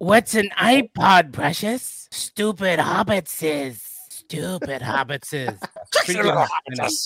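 At middle pitch, a put-on character voice speaks very slowly with hardly any pauses. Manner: hissing, sneering.

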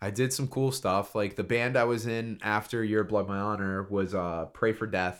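With an American accent, a man speaks in a plain, everyday voice, fairly low in pitch, at a moderate pace with hardly any pauses. His intonation is fairly even, and the recording is very clean with a silent background. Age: 30s. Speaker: guest. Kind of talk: casual chat.

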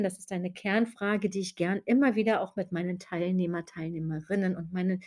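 The voice has a dark, mellow tone and ordinary pitch variation, on a very clean recording with a silent background. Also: woman. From Germany, West Berlin. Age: 40s. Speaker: podcast host and business mentor. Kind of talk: podcast monologue.

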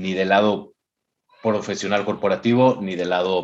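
In a Mexican accent, a man speaks at a moderate pace with fairly low pitch and fairly even intonation. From Mexico. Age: 40s. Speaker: entrepreneur, finance company CEO. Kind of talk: interview conversation. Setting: video call. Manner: halting, with frequent repetitions.

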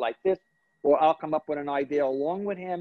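Speaking with a New York accent, a man uses a fairly high pitch and fairly even intonation at a fairly quick pace. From Brooklyn, New York. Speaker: celebrity hairstylist and salon owner. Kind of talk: interview.

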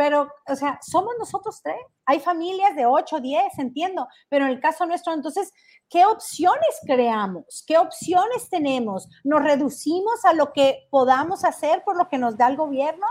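Speaking at a fairly slow pace, a woman with a high pitch is heard on a very clean recording with a silent background. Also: lively intonation. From Mexico, Jalisco. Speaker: financial education show host. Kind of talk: live stream talk. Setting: livestream from relatives' house in Mexico.

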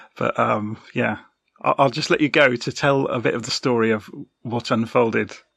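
He speaks in a British accent. A man's fairly even intonation comes at a moderate pace. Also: medium pitch for a man. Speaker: podcast host. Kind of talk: interview, casual chat.

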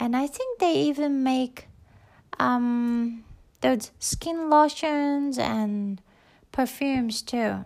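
Very slow, high-pitched female speech in a Japanese accent. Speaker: podcaster. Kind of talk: casual solo talk. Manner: halting.

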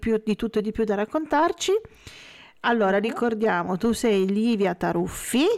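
On a very clean recording with a silent background, a woman with a warm tone speaks at a moderate pace, the sound dry and close with no echo. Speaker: web radio host. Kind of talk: casual radio interview. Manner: warm, laughs often.

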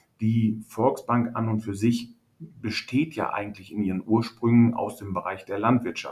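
A somewhat breathy voice speaks at a fairly slow pace. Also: man. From Münsterland, northwestern Germany (Hörstel). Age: 50s. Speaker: agricultural real estate agent. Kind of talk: casual interview.

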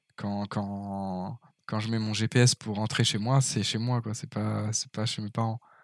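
Over a silent background in a very clean, dry, close recording with no echo, a man speaks very slowly in a fairly low, monotone, flat voice. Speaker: podcast host. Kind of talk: casual chat.

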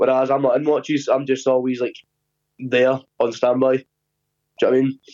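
A man's voice in a strong Scottish accent, with monotone, flat intonation. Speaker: podcast guest, navy weapons engineer. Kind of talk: casual, sweary.

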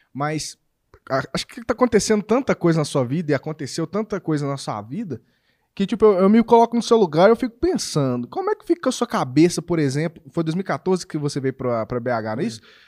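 The recording is dry and close, with no echo. A man speaks with a high pitch and very wide pitch swings. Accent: Belo Horizonte. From Minas Gerais, Brazil. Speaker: YouTuber interviewer. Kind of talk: casual chat. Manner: animated.

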